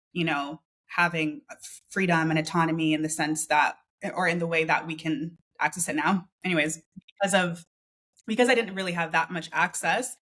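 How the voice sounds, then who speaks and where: With a Canadian accent, a woman talks at a moderate pace in a fairly low pitch, with ordinary pitch variation and a bright, sharp tone. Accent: Canadian, non-UK. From Canada, small town. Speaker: freelancer and business coach. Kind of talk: interview. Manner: casual, with fillers.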